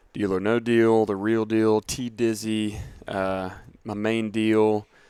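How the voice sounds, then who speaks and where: On a very clean recording with a silent background, a man with a Southern US accent speaks very slowly in a dark, mellow, fairly low voice with monotone, flat intonation. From US South, middle Georgia (Dublin). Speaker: fitness coach. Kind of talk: casual interview.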